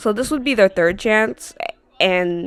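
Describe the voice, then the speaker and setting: Her pitch is medium and her intonation lively as this woman speaks. The sound is dry and close, with no echo. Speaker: commentary youtuber. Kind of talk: casual commentary monologue. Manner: animated, many fillers.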